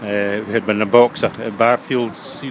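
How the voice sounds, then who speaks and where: In a west of Scotland accent, a man talks fairly quickly at a fairly low pitch with flat, monotone intonation over noticeable background noise. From Scotland, Ayrshire coast. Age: 70s. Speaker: elderly local resident recalling wartime. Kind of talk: interview reminiscence. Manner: halting, many fillers.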